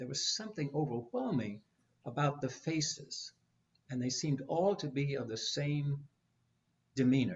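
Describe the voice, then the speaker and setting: Speaking at a moderate pace with an American accent, a man with a fairly high pitch sounds somewhat breathy and shows ordinary pitch variation. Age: 80s+. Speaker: psychologist. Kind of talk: panel conversation.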